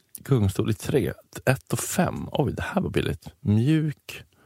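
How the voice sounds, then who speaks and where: A man's medium-pitched, somewhat breathy voice with a dark, mellow tone and very wide pitch swings, in a dry, close sound with no echo. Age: 30s. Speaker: podcast co-host. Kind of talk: casual chat.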